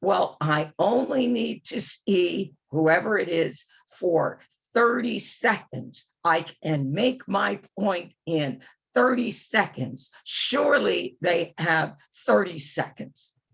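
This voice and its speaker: A woman's fairly low voice with vocal fry, very wide pitch swings and a very slow pace. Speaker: advocacy trainer and policy strategist. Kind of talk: training session. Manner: animated.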